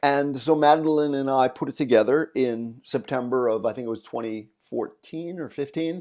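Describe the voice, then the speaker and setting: A dark, mellow tone carries fairly even intonation at a moderate pace. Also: man. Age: 60s. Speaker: songwriter and music producer. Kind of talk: interview.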